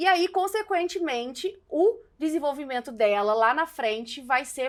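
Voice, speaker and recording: A woman speaks at a fairly slow pace with a Minas Gerais accent. The recording is very clean, with a silent background. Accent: Mineiro Brazilian Portuguese. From Minas Gerais, Brazil. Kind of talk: casual talk to camera while doing makeup. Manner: outspoken, a bit exaggerated.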